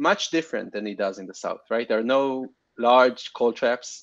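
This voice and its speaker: This man has a fairly high voice. He talks at a moderate pace over a quiet background. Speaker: planetary scientist. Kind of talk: conference talk Q&A. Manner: stuttering, halting.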